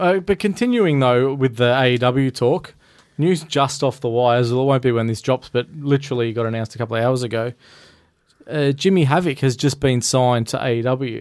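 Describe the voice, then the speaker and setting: At a fairly quick pace, a man with an Australian accent talks at a medium pitch with ordinary pitch variation. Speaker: wrestling podcast co-host. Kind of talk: casual chat.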